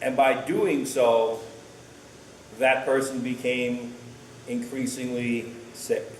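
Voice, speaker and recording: A man at medium pitch talks very slowly in a monotone, flat intonation, with long, frequent pauses and noticeable background noise. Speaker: pastor and teacher. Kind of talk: sermonette to a congregation, conversational.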